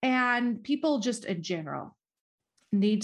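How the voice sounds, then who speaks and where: A woman with a Minnesotan accent and ordinary pitch variation. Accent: Minnesota. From US Midwest, northern Minnesota. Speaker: podcast host.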